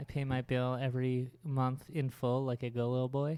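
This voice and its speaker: A man mumbles in a put-on character voice at medium pitch and a moderate pace. His intonation is monotone and flat, and his loudness stays very even. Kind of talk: casual, joking. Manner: mumbled, slurred, words run together.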